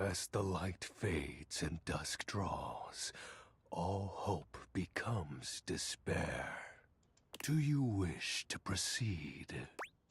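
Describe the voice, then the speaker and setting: The speaker uses a put-on character voice with lively intonation. The pace is very slow. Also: man, fairly low pitch for a man. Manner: somber, funereal.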